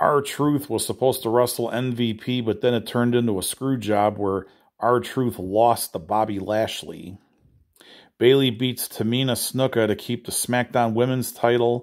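Intonation stays fairly even at a moderate pace. The background is quiet. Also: man. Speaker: news presenter. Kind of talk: nightly news-style report on wrestling and comics, read off a rundown. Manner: brisk and matter-of-fact, rattling off results; casual, informal, with small fillers. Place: home room. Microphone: phone near.

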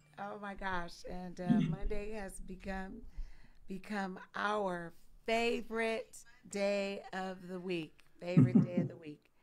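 A woman at a very slow pace with fairly even intonation, over noticeable background noise. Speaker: talk show co-host. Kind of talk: live-stream talk show conversation. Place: home room. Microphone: studio mic.

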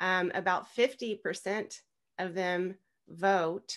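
Against a quiet background, a woman talks with an American accent. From US South (Tennessee). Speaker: podcast guest. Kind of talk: interview. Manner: halting. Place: home room. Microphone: video call.

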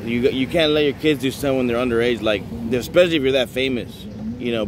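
Dry with no echo but with noticeable background noise, a man's voice comes at a very fast pace. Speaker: vlogger. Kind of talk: casual vlog commentary. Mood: disapproving, ranting. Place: street. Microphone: phone near.

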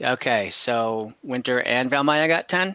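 A man's medium-pitched voice, bright and sharp yet clear and smooth in tone, with lively intonation at a fairly slow pace

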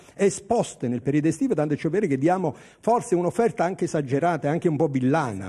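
The voice has a dark, mellow tone, moves at a fairly quick pace and makes very wide pitch swings. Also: man. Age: 60s. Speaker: TV food and culture host. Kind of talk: casual hosted TV segment. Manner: animated.

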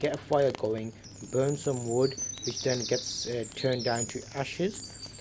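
A fairly slow pace against noticeable background noise. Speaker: outdoor vlogger. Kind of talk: tutorial. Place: garden. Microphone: phone near.

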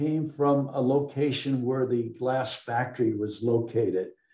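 Over a quiet background, a man speaks at a medium pitch in a dark, mellow tone. His intonation is fairly even, and the room echo is audible. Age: 80s+. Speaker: bottle collector and local historian presenting his book. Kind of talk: illustrated history presentation with Q&A. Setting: video call webinar. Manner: rambling, conversational with frequent fillers. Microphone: webcam.

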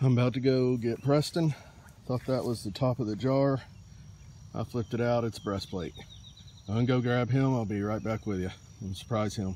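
A man speaks at a moderate pace with ordinary pitch variation and long, frequent pauses. The sound is dry with no echo, over light background noise. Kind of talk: casual vlog chat. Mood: excited, pleased. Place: open country. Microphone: phone near.

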